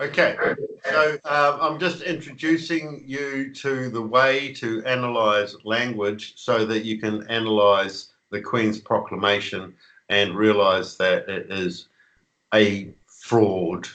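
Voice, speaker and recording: A man with a New Zealand accent, medium pitch, a bright, sharp tone, ordinary pitch variation and a very slow pace. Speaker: conspiracy author. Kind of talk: interview. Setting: video call.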